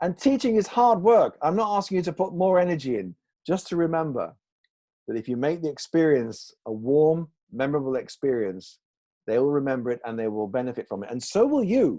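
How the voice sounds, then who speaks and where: Against a quiet background, a man talks fairly quickly in a fairly high voice. His tone is dark and mellow, and his pitch swings very widely. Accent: northern English. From northern England, Salford. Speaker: English teaching author and trainer. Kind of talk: online presentation. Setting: video call.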